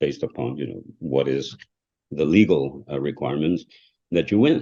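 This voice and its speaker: A man with a non-native accent speaks at a very deep, low pitch. His tone is dark and mellow, with vocal fry. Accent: foreign. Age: 60s. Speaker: trial lawyer. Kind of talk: podcast interview. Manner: halting.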